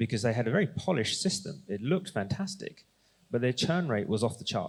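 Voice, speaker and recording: A man talks very fast at a medium pitch. His voice is somewhat breathy, with very wide pitch swings. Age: 40s. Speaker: investor. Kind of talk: panel discussion.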